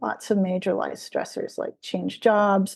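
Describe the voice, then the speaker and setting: A woman talks at a fairly slow pace with a medium pitch. Her tone is dark and mellow. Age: 60s. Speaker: energy healer. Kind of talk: interview. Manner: hesitant, with many fillers.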